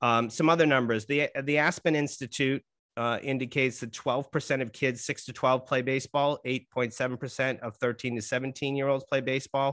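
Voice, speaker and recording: A man's medium-pitched, fairly quick delivery in an ordinary speaking voice, with fairly even intonation, a dry, close sound with no echo and a quiet background. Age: 50s. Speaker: podcast host and marketing lecturer. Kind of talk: interview podcast hosting.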